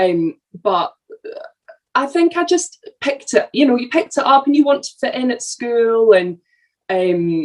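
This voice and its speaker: Her voice high, a woman speaks with very wide pitch swings and long, frequent pauses. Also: fairly slow pace. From Edinburgh, Scotland (moved from London at seven). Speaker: actress. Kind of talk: casual interview chat.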